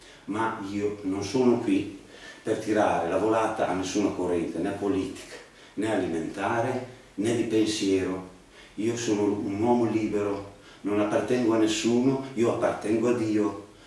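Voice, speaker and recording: Fairly even intonation at a moderate pace comes through strong room echo. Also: man, fairly low pitch for a man. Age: 50s. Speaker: cancer patient vlogger. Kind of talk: personal testimony monologue. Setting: home video studio. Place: home room. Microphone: camera far.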